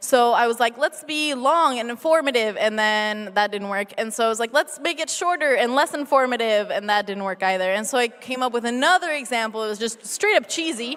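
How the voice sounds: Speaking at a fairly quick pace with few pauses, the voice has a fairly bright tone and an American accent. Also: woman, fairly high pitch for a woman, ordinary pitch variation.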